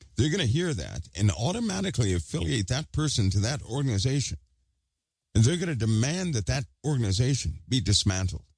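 Very wide pitch swings and vocal fry mark a man's medium-pitched voice as he talks at a fairly quick pace in a very clean recording with a silent background. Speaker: online commentator. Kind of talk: casual monologue to viewers.

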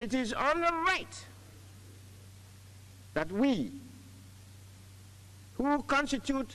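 A man speaks in a raised, projected voice at an extremely high pitch. He goes very slowly, with long, frequent pauses. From Nigeria. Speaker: statesman and diplomat. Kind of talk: formal address to a United Nations assembly. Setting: assembly hall, vintage recording. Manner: formal, emphatic, oratorical. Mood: firm, admonishing. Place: hall. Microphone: podium.

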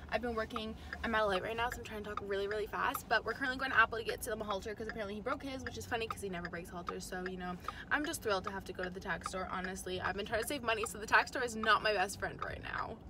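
A woman's medium-pitched voice at a very fast pace, fairly even in intonation, over clear background noise

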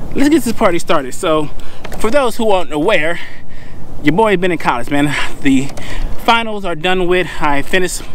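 Long, frequent pauses break up this man's high-pitched speech, which sounds dry with no echo over light background noise. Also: lively intonation, moderate pace. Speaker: fishing vlogger. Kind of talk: casual vlog chat. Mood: joking, playful. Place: boat. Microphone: lapel.

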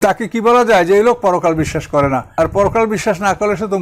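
A very clean recording with a silent background captures a man speaking at a high pitch with ordinary pitch variation. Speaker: Islamic scholar and preacher. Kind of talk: religious lecture.

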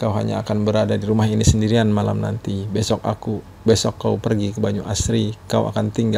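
The clip is plain reading aloud. It is read straight from a text.

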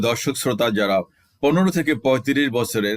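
A man speaks at medium pitch in an ordinary speaking voice with ordinary pitch variation. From Bangladesh, Rajshahi. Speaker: religious commentary YouTuber. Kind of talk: Quran commentary monologue.

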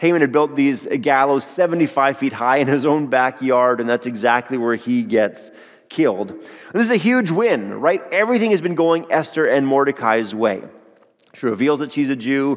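The background is quiet around a man. He talks at a moderate pace. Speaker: pastor. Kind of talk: sermon. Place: church. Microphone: headset.

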